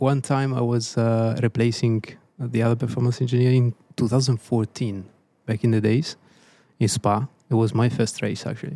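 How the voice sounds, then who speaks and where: A man with an Italian accent, medium pitch, dark and mellow tone, monotone flat intonation, moderate pace, and a dry, close sound with no echo. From Italy, Tuscany. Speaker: race engineer. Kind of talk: casual chat.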